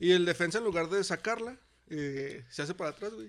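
A man with a Mexican accent speaks in a high voice at a fairly quick pace. His intonation is lively, and the recording is very clean with a silent background. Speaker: teacher and podcast co-host. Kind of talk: casual chat.

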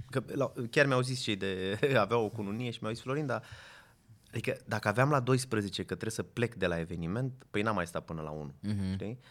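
A man talks in a plain, everyday voice, fairly low in pitch with ordinary pitch variation. His moderate pace is captured in a very clean recording with a silent background. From Romania, Craiova. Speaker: event photographer. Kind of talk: casual chat.

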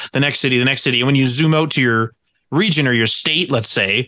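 A man talks fairly quickly at a medium pitch. He has an unremarkable speaking voice, and his pitch varies in an ordinary way. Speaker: podcast co-host. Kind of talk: casual chat.

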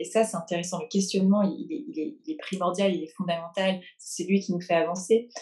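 A woman's somewhat breathy, dark, mellow voice at medium pitch, fairly quick with hardly any pauses and lively intonation. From France, then England. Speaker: therapist and coach. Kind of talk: interview. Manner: hesitant, with frequent repetitions.

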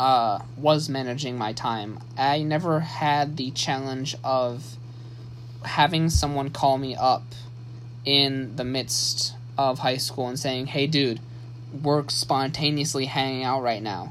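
In a room with audible echo and noticeable background noise, a man talks very slowly at a medium pitch with fairly even intonation. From US Midwest, Saginaw, Michigan. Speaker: podcast host. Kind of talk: solo monologue, personal story. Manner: halting, many fillers and restarts.

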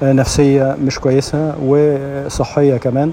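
A man with a medium pitch talks as noticeable noise runs in the background. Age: 60s. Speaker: radio host. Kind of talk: casual monologue. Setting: gym.

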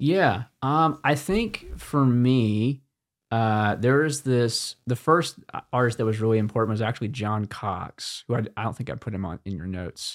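A man speaks in a plain, everyday voice at a moderate pace, medium pitch and ordinary pitch variation. The recording is very clean, with a silent background and a dry, close sound with no echo. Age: 20s. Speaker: singer-songwriter. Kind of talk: casual chat. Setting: studio.

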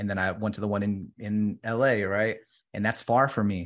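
A man's fairly low-pitched voice at a moderate pace over a quiet background. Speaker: insurance agent. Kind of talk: casual interview chat. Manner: animated, enthusiastic.

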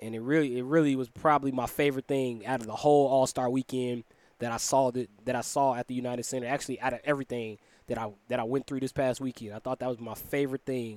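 A man with an American accent at medium pitch, very fast pace, dry, close sound with no echo. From Chicago, Illinois. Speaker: sports podcast host. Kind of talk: solo podcast monologue, sports recap. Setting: studio. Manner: casual, animated.

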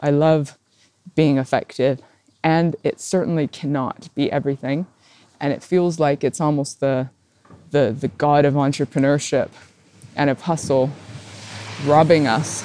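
With a dark, mellow tone and very deep, low pitch, a woman speaks at a moderate pace broken by long, frequent pauses. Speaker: podcast host. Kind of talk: solo reflective monologue. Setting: recorded on a phone. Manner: speeds up when excited.

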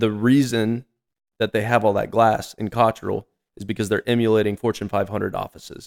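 This man talks fairly quickly at a medium pitch, his intonation flat and monotone, in a dry, close recording with no echo. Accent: American. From North Carolina. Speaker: manufacturing sales manager. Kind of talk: casual chat.

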